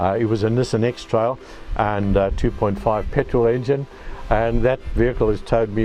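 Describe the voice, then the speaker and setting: With an Australian accent, a man talks at a fairly quick pace in a fairly low pitch. His intonation is fairly even, and there is music in the background. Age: 70s. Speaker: solo caravan traveller. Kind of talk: casual personal story to camera. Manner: halting, many fillers and restarts.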